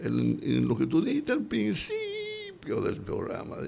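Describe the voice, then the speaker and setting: A man's voice with audible room echo. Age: 80s+. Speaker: radio host. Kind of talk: live radio talk show. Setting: radio studio.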